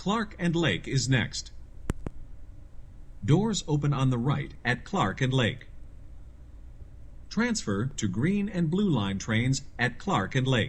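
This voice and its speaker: Speaking very slowly with long, frequent pauses, a man uses a medium, somewhat breathy voice with very wide pitch swings and very even loudness. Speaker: voiceover artist. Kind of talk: automated transit announcement. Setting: train PA system.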